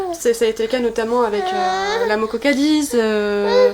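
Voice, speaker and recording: Her intonation is lively. The woman's voice sits fairly high in pitch. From Brittany, pays de Dol. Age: 20s. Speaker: author and political activist. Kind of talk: interview. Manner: hesitant, many fillers.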